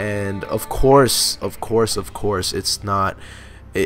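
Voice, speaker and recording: Noticeable background noise sits behind a man speaking at a fairly slow pace and a fairly low pitch. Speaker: gaming video commentator. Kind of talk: gameplay commentary monologue. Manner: monotone.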